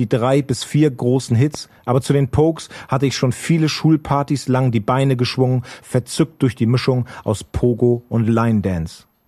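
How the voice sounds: A dark, mellow tone at a moderate pace, with fairly even intonation and few pauses. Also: man, medium pitch for a man.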